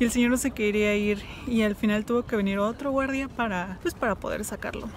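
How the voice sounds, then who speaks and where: Fairly quick speech with a dry sound, no echo, and light background noise. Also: woman. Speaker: travel vlogger. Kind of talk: casual vlog chat. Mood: amused, laughing. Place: street. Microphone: phone near.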